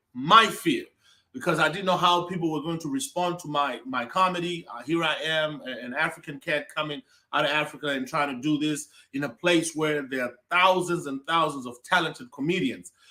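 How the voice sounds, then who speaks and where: A man speaks with energy in an American accent, his voice pitched high. The tone is bright and sharp, and the pace is moderate. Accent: Zimbabwean, some said to sound American. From Zimbabwe (Mbare, Harare). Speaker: comedian. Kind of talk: interview. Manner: energetic.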